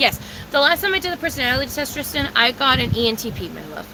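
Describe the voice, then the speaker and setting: Over noticeable background noise, a woman speaks very fast in a raised, projected, high voice with ordinary pitch variation. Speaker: livestreamer. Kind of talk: casual chat.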